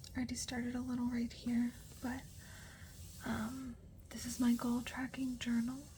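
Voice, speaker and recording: A soft-spoken woman's high voice at a moderate pace, flat and monotone in intonation, over noticeable background noise. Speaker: new mother. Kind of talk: ASMR journaling talk.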